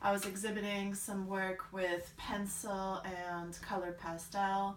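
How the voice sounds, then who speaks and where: The speech comes in an American accent with flat, monotone intonation. Room echo is audible. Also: woman, medium pitch for a woman, fairly slow pace. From Bulgaria. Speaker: artist. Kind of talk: vlog introduction. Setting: art studio.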